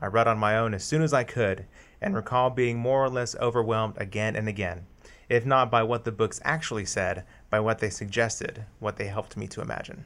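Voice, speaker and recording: A man with a medium pitch talks at a fairly quick pace with ordinary pitch variation. He has an ordinary speaking voice. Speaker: podcast co-host and editor. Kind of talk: casual interview. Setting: studio.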